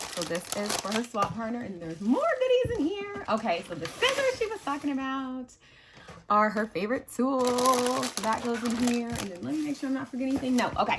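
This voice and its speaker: A woman talks at a fairly quick pace in an animated tone. Noticeable background noise runs behind her. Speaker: crafting YouTuber. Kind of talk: casual unboxing chat. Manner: halting with fillers.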